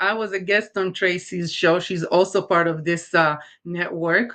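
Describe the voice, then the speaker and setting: Against a quiet background, a woman with an Israeli accent speaks at a moderate pace in a fairly low pitch with a bright, sharp tone. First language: Hebrew. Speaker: talk show host, makeup artist and life coach. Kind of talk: live show monologue to viewers. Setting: live streamed show.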